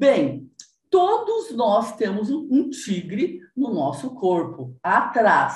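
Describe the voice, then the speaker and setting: A woman speaks very slowly at a high pitch, her voice swinging very widely up and down. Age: 60s. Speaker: body movement teacher. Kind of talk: interview.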